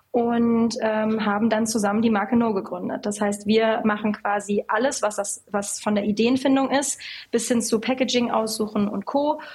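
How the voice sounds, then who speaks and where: A woman's fairly high voice at a fairly quick pace, with fairly even intonation and noticeable background noise. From western Germany (North Rhine-Westphalia). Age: 20s. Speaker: cosmetics company founder and CEO. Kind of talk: casual interview.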